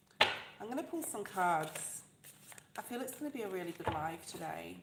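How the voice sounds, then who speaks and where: A woman at a moderate pace with very wide pitch swings, plus audible room echo and noticeable background noise. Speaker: tarot reader. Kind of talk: live tarot reading stream. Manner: soft-spoken.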